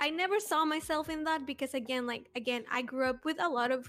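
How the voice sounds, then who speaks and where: A woman with a Spanish accent, a high pitch and a fairly quick pace. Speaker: podcast panelist. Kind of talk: casual chat.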